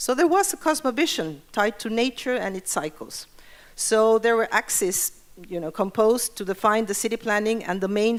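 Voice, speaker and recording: With a Spanish accent, a woman talks at a fairly quick pace in a fairly high pitch. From Mexico. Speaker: urban planning expert. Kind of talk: conference presentation.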